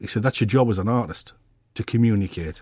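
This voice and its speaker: In a very clean recording with a silent background and a dry, close sound with no echo, a man speaks fairly quickly with a fairly low, somewhat breathy voice and ordinary pitch variation. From Middlesbrough, northeast England. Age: 60s. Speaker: artist. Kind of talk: interview.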